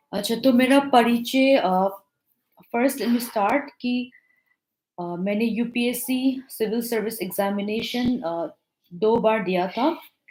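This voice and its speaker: Speaking with a non-native accent, a woman uses a fairly high pitch and ordinary pitch variation. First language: not Hindi (speaking Hindi). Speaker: civil service exam topper, officer. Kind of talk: talk to exam aspirants. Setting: live online interaction. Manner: halting, many fillers; mixes Hindi and English.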